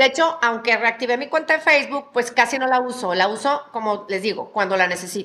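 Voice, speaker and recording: A woman talks at a high pitch with lively intonation. She keeps a fairly quick pace with hardly any pauses. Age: 50s. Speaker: mother of a podcast host. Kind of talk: casual chat. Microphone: hears own voice echoing.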